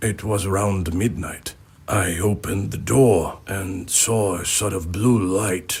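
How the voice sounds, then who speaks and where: A man's put-on character voice, fairly low in pitch, with fairly even intonation and a fairly slow pace. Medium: video game. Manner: plain-spoken, earnest.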